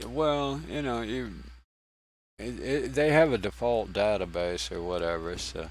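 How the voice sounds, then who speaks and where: Heard with audible room echo, a man with a Southern US accent speaks with very wide pitch swings. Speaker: game streamer. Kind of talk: casual gameplay commentary. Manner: halting, with many restarts.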